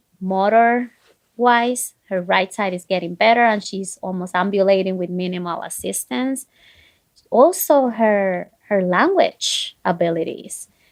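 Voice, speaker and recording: At a fairly slow pace, a woman with a non-native accent speaks in a medium pitch with ordinary pitch variation. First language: not English. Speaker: physician. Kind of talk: interview.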